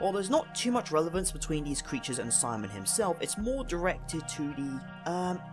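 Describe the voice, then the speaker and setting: Over music in the background, the speaker talks at a fairly quick pace with very wide pitch swings. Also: man. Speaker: video game analysis youtuber. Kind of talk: video essay narration.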